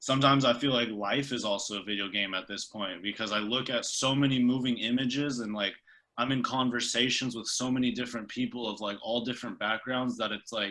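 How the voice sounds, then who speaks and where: In an American accent, a man speaks at a medium pitch and a fairly quick pace with a bright, sharp tone. The recording is very clean, with a silent background. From Bay Area, San Jose. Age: 20s. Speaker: videographer and music video director. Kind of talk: casual podcast interview. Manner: casual, filler-heavy, repeats words.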